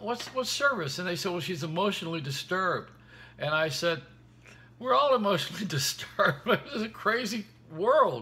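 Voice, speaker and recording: A man's raised, projected voice with lively intonation at a fairly quick pace. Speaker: radio, television host. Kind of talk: casual vlog chat, comic storytelling. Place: home room. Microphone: phone near.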